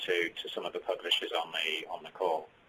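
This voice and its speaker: A man in a British accent speaks at a very fast pace. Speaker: developer technical services head. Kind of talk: webinar presentation.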